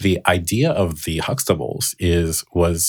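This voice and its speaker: Recorded very clean against a silent background, a man speaks at a very deep, low pitch with a dry, close sound and no echo. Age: 30s. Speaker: author. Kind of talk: casual chat.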